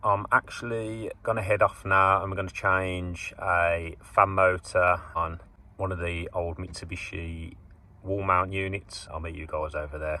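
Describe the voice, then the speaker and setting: Very deep and low, this man's voice has a bright, sharp tone and big swings in loudness. He speaks fairly slowly, with fairly even intonation. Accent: Birmingham. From England, Birmingham. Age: 30s. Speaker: HVAC engineer. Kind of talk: casual vlog talk to camera.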